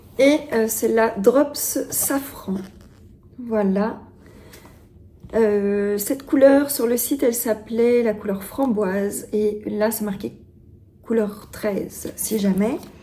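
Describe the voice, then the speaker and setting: Against noticeable background noise, a woman talks at a very slow pace with long, frequent pauses, using a fairly high pitch and ordinary pitch variation. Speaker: knitting vlogger. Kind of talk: casual vlog talk to camera. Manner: hesitant, many fillers.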